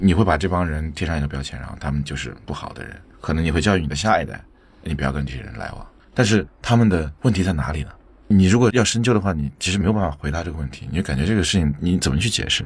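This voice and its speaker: A man speaks very fast with a very deep, low pitch, lively intonation and big swings in loudness. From Chengdu. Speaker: podcast producer. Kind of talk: interview conversation.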